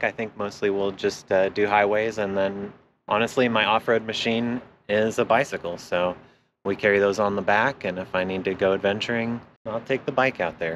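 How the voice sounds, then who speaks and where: The voice moves at a moderate pace with fairly even intonation over light background noise. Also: man, fairly low pitch for a man. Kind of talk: casual tour chat. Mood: relaxed, cheerful. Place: street.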